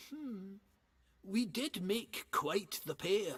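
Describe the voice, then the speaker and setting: A put-on character voice is delivered at a middle pitch. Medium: video game. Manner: gruff, colloquial.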